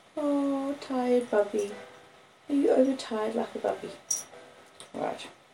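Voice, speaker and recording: Amid noticeable background noise, a woman speaks in a high pitch with fairly even intonation. She leaves long, frequent pauses. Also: fairly slow pace. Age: 50s. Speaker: audiobook reader. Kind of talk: reading aloud.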